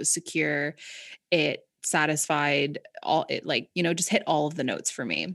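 A woman with a Canadian accent speaks with vocal fry at a very deep, low pitch and in monotone, flat intonation. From Canada, rural Southern Ontario. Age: 30s. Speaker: mental health advocate and actress. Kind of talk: casual chat. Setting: video call.

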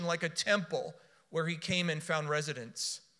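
A man with an American accent speaks in a raised, projected voice. His tone is bright and sharp. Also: very clean recording, silent background. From US South, South Florida. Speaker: preacher. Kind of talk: sermon.

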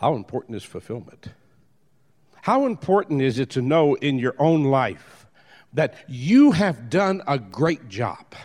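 Lively intonation and a fairly slow pace from a man with a plain, everyday voice. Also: fairly high pitch for a man. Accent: American. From New Orleans, US South. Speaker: motivational speaker. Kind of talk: motivational talk.

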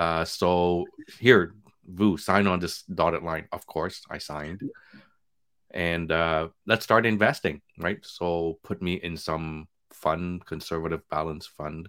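Delivery is at a very slow pace with fairly even intonation. The recording is very clean, with a silent background. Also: man, very deep, low pitch for a man. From Quebec, Canada (born in Vietnam). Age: 40s. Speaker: physician and podcast host. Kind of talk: casual interview chat.

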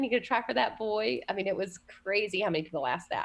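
A woman with a Southern US accent speaks at medium pitch over a quiet background. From US South. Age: 40s. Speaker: college minister. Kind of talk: interview. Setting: remote call.

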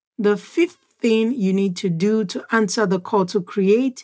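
With a dark, mellow tone, a woman speaks at medium pitch with ordinary pitch variation. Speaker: podcast host and business coach. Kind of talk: solo podcast episode, motivational talk. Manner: excited, animated.

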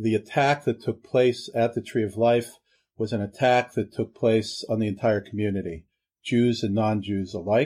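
A man with an American accent and a dark, mellow tone speaks at a moderate pace, medium pitch and fairly even intonation. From Pittsburgh, Pennsylvania. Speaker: rabbi. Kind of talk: interview testimony.

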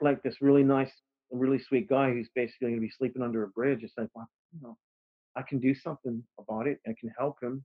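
This man has a medium pitch and an American accent, talking at a fairly quick pace with ordinary pitch variation. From Texas. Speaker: musician. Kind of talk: casual chat. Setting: video call.

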